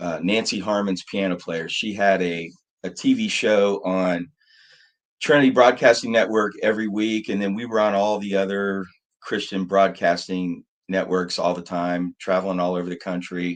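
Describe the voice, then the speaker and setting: A plain, everyday voice with an American accent speaks at a moderate pace with fairly even intonation against a quiet background. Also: man, fairly low pitch for a man. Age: 60s. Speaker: musician, keyboard player. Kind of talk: casual interview.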